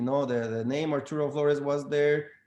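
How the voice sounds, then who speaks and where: A man with a non-native accent speaks at a moderate pace and with fairly even intonation. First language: not English. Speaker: real estate agent. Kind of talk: panel discussion. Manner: halting, many fillers.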